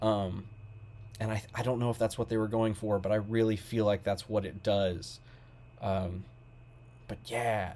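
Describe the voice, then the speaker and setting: A man with a Southern US accent, fairly low and dark, mellow in tone, monotone and flat at a moderate pace. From Kentucky, small town. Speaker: music reviewer. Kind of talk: album review monologue. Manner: halting, many fillers.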